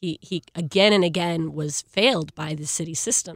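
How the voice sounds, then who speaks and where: In a plain, everyday voice, a woman talks at a fairly low pitch with fairly even intonation, in a very clean recording with a silent background and a dry, close sound with no echo. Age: 20s. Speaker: youth activist organizer. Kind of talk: panel discussion.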